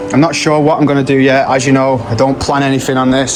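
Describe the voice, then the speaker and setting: A man with an English accent speaks at a medium pitch in a monotone, flat intonation, with noticeable background noise and audible room echo. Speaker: home grower vlogger. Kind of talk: casual vlog. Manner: halting.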